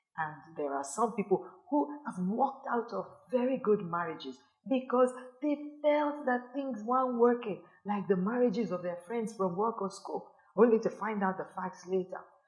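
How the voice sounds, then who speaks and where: A woman with an unremarkable speaking voice and fairly high pitch talks at a moderate pace with lively intonation. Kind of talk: sermon-style teaching to camera. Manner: earnest, admonishing.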